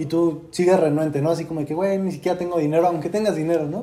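Amid noticeable background noise and audible room echo, a man with a high pitch speaks at a very fast pace. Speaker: podcast host, university student. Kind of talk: casual chat.

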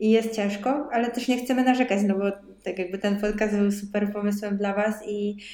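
A woman talks at a fairly quick pace, her pitch medium. Noticeable background noise runs under her voice. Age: 20s. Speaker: podcast co-host, dietitian. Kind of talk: casual chat.

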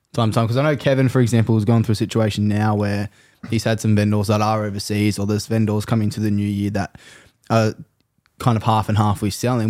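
A man's fairly low, dark and mellow voice with an Australian accent, very fast and monotone, with flat intonation. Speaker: podcast host. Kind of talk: casual comedic interview. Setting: hot house in Sydney, filmed.

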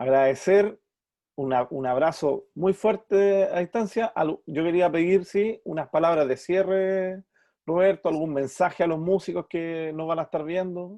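A man's high, dark, mellow voice in a Chilean accent, fairly slow with ordinary pitch variation, against a quiet background. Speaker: podcast host, musician. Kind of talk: casual interview.

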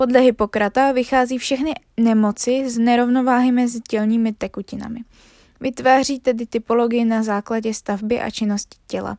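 Here a woman speaks with a fairly high pitch. Her pace is moderate. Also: very clean recording, silent background. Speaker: podcast host explaining psychology. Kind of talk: casual chat; educational reading of study notes. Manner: stumbling over words, self-correcting.

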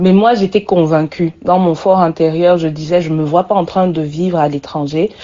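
At a moderate pace, a woman talks in a fairly low pitch with an unremarkable speaking voice. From Cameroon. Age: 30s. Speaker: communications consultant, former journalist. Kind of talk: personal testimony.

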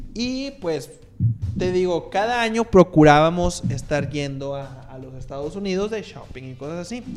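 A man speaks in a high voice with lively, bouncing intonation. Noticeable noise sits in the background. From Monterrey, Mexico. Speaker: podcast co-host and editor. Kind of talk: casual chat.

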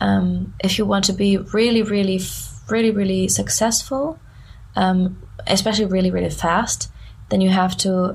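Speaking with a German accent, a woman goes at a fairly slow pace with long, frequent pauses. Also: very even loudness. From southern Germany near Frankfurt. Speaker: musician. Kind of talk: casual interview chat. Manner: halting.

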